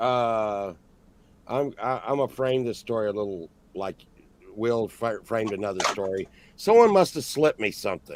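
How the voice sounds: With lively intonation and a slightly mellow tone, a man speaks at a moderate pace in a fairly low voice.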